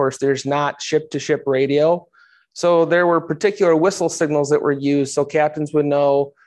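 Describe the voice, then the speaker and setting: A man's voice shows ordinary pitch movement over a quiet background. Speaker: history teacher giving a talk. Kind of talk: lecture.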